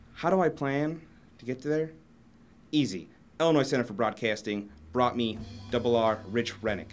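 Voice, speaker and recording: The speaker has an American accent and lively intonation. The pace is moderate, with music in the background. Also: man. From Indiana. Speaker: broadcasting student. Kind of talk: mock self-promotional interview.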